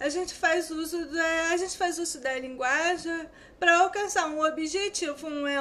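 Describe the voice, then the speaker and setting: A woman's extremely high, bright and sharp voice comes at a fairly slow pace with ordinary pitch variation and audible room echo. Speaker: student teacher. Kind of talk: lecture. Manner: sometimes stumbling over words.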